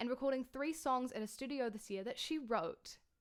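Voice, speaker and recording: The voice has a New Zealand accent. Its pace is fairly quick. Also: woman. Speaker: online singer and concert host. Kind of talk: casual video introduction. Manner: animated.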